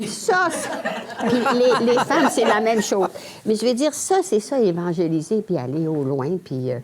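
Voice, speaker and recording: In a Lac-Saint-Jean accent, a woman talks at a moderate pace. Background noise is noticeable. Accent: Lac-Saint-Jean Quebec French. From Quebec, Lac-Saint-Jean. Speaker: nun, former teacher. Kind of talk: testimony. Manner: halting.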